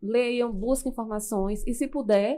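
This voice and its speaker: On a very clean recording with a silent background, a woman talks at a fairly slow pace. Her tone is dark and mellow. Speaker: public speaking coach. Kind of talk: podcast interview.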